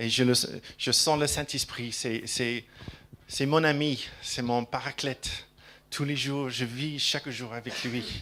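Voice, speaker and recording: With a slight English accent, a man speaks very slowly at medium pitch, his bright, sharp tone held in a flat monotone. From England. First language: English (speaking French). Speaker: preacher. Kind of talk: sermon. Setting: church. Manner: halting, repeats words.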